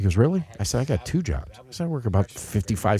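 A man talks at a very fast pace with vocal fry. His tone is dark and mellow, with very wide pitch swings. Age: 50s. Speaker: podcast host, father of co-host. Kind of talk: casual chat.

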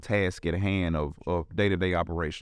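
In a very clean recording with a silent background, a man with a Memphis accent talks at a moderate pace. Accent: Southern US, Memphis. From Memphis, Tennessee. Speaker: restaurant co-owner. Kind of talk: casual interview chat. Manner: hesitant with many fillers.

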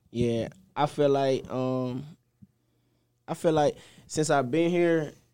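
A man speaks with a Southern US accent in a dark, mellow tone. His pace is very slow and his intonation fairly even. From Mississippi. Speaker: college football player. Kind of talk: interview.

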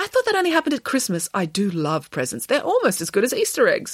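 A woman performs a put-on character voice at a fairly high pitch with a slightly husky edge. She talks fast, with very wide pitch swings.

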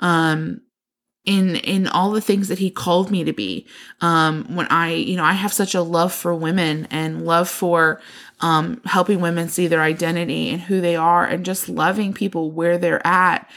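In an unremarkable speaking voice, a woman with a fairly low pitch and fairly even intonation talks at a moderate pace on a very clean recording with a silent background. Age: 20s. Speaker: podcast co-host. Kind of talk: casual chat.

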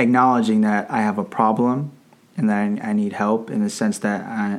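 A normal speaking voice in an American accent, with fairly even intonation and a moderate pace. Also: man. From Northern Virginia, US. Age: 20s. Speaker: teacher. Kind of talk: casual chat.

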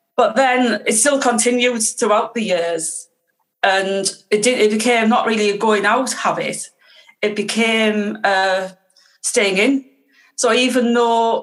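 A woman with a Teesside accent speaks at a fairly slow pace and fairly high pitch, her intonation fairly even. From northeast England, Teesside. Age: 50s. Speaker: guest sharing recovery story. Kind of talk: casual interview.

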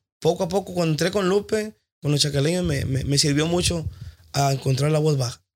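This man has a high-pitched voice and ordinary pitch variation. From Tijuana, Mexico. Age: 20s. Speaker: working musician and singer. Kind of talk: casual chat.

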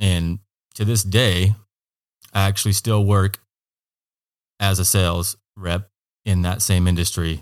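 A man's very deep, low voice with an American accent, monotone and flat, at a fairly slow pace with long, frequent pauses, in a dry, close sound with no echo and a very clean recording with a silent background. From Oregon, US Pacific Northwest. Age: 30s. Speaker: small business owner. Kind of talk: casual interview. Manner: halting, many fillers and repeats.

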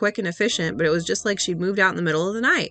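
A woman talking at a very fast pace, music in the background. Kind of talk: ghost story reading aloud. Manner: hushed, tense, eerie first-person narration.

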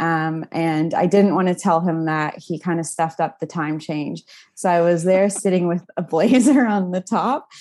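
The woman has a plain, everyday voice, fairly low in pitch with ordinary variation. Her pace is moderate and the background is quiet. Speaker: mental health nonprofit executive. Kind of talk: casual interview chat. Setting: video call.

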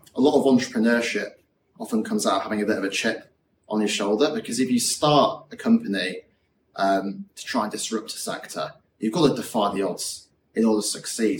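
Here a man talks in a Yorkshire accent. His pace is fairly quick. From West Yorkshire, England (Morley). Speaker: startup founder and CEO. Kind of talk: interview.

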